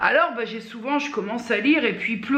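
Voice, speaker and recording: A woman with a fairly high pitch talks at a moderate pace and with ordinary pitch variation, while audible room echo and noticeable background noise surround her. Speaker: vlogger. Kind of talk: casual vlog monologue. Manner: hesitant, many fillers.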